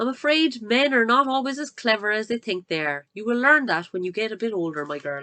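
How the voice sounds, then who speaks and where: A woman uses a put-on character voice, shrill and fairly high-pitched, with very wide pitch swings. She talks at a fairly quick pace. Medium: read story. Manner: shrill, scornful.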